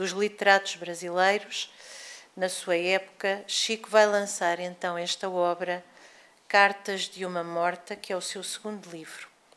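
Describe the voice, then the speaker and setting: The intonation is monotone and flat. A woman delivers her words at a fairly slow pace. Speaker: lecturer. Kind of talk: lecture. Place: hall. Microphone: podium.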